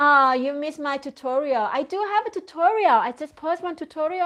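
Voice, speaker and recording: A woman speaks with a Thai accent. Her pace is moderate. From Thailand. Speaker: crochet content creator. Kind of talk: live stream chat. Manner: halting, self-correcting. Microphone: phone with external microphone.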